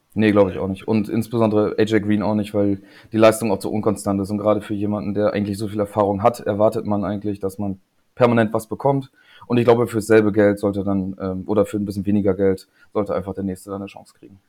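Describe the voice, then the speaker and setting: A man's very fast, monotone, flat delivery, fairly low in pitch with a dark, mellow tone and big swings in loudness, in a very clean recording with a silent background. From northern Germany, Emsland (Lingen). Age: 30s. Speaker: registrar, fan community guest. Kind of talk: casual chat.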